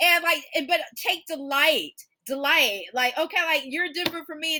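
Here a woman uses a raised, projected voice. Her pitch is high. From US South, Georgia. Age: 40s. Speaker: podcast host. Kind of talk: casual interview chat.

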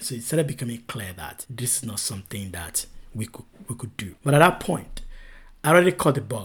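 A somewhat breathy man at medium pitch and a fairly quick pace, with very wide pitch swings and big swings in loudness. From Nigeria. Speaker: venture capital investor. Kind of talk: interview conversation.

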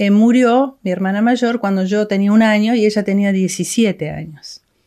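A woman with a plain, everyday voice speaks at a medium pitch with fairly even intonation against a quiet background. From Argentina, Córdoba. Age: 60s. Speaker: missionary's daughter, ministry worker. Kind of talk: interview.

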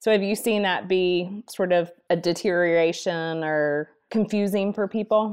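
Speaking at a fairly slow pace with hardly any pauses, a woman with an unremarkable speaking voice keeps a medium pitch and fairly even intonation against a quiet background. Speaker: podcast co-host. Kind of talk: interview conversation.

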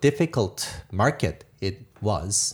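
A man with a Korean accent on a very clean recording with a silent background. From South Korea. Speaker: tech company founder and CEO. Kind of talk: interview. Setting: live recording in a parlor with audience. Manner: halting, many filler words.

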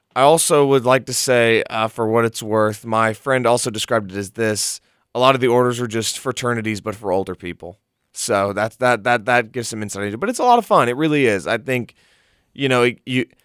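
On a very clean recording with a silent background and a dry, close sound with no echo, a man uses an ordinary speaking voice at a medium pitch, with ordinary pitch variation and a fairly quick pace. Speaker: college radio guest. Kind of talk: casual chat. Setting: studio.

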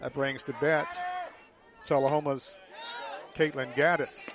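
A man speaks at a moderate pace as a crowd can be heard in the background. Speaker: play-by-play announcer. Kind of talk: live sports commentary. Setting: outdoors at ballpark.

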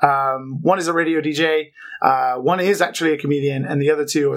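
A man with a British accent at a moderate pace. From UK. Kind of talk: casual chat.

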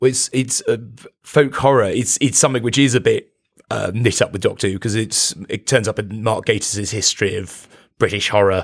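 A man with an unremarkable speaking voice talks at a fairly quick pace and medium pitch, with ordinary pitch variation. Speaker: comedian or performer. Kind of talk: casual chat.

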